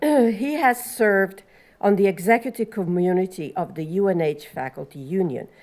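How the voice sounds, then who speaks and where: Pitch swings very widely as a woman talks in an Italian accent. Her pitch sits in the medium range. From Italy. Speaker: panel moderator. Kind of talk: panel introduction.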